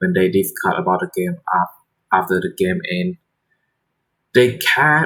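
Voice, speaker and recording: With a non-native accent, a man speaks in a bright, sharp tone, his pitch swinging very widely. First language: not English. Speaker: shogi streamer. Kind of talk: casual live-stream chat. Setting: live stream. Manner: halting, repeating words.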